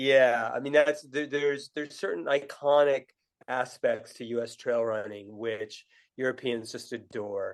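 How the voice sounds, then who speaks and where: A man with a New England accent speaks at a fairly slow pace and a medium pitch. His intonation stays fairly even as his loudness swings widely. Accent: New England American. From US Northeast, New Hampshire. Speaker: author and running tour company founder. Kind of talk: podcast interview. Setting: remote call. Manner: halting, many fillers and restarts.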